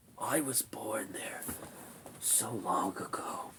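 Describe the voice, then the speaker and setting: A husky man in a put-on character voice. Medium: read story. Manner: slow, weary, solemn.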